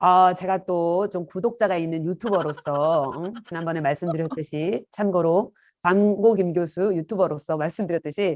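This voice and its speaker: A woman's fairly low, normal speaking voice with ordinary pitch variation, at a moderate pace and with hardly any pauses. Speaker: professor; podcast co-host. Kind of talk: casual chat. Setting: video call.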